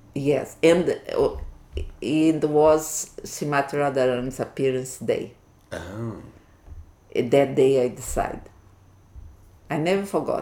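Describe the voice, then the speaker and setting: A woman with a Portuguese accent speaks at a very slow pace with long, frequent pauses, her very deep, low pitch carrying a dark, mellow tone. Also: ordinary pitch variation. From Brazil, Minas Gerais. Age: 60s. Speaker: Hare Krishna devotee. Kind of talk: interview.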